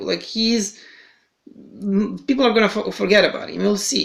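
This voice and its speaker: A man speaks with a non-native accent at a moderate pace. His tone is bright and sharp. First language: not English. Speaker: fantasy basketball podcast host. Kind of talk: casual podcast chat. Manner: halting, many fillers and repetitions.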